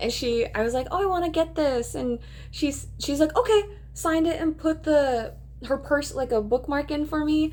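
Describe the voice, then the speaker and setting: A woman speaks in a Minnesotan accent. Her high-pitched voice has lively intonation. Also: moderate pace. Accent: Minnesota. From Minnesota, US. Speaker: booktuber. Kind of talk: casual chat. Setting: in her bed at home. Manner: casual, with frequent fillers.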